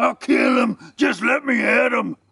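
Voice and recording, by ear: In a put-on character voice, a man bellows and shouts at an extremely high pitch, growling with vocal fry and a husky, rough edge in a bright, sharp tone. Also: ordinary pitch variation, fairly slow pace.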